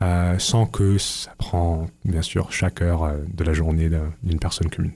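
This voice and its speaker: A man speaks at a very slow pace in a dark, mellow tone that is somewhat breathy. The recording is very clean, with a silent background. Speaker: university student. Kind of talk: radio interview. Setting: radio studio. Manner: halting, repeating words.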